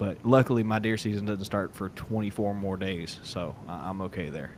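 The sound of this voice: A man talks at a low pitch and a moderate pace. His intonation stays fairly even.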